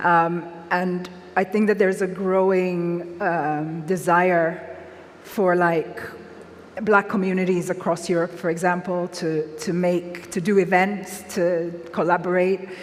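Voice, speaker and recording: A woman speaks in a fairly low voice at a fairly slow pace. Her intonation is monotone and flat, with noticeable background noise. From Nigeria, Lagos. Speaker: author. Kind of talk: public talk Q&A.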